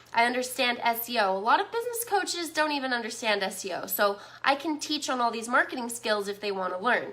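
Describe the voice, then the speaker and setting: A woman's high voice, very fast with hardly any pauses, animated in tone and lively in intonation, over noticeable background noise. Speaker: business marketing coach. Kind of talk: live stream webinar. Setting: live stream.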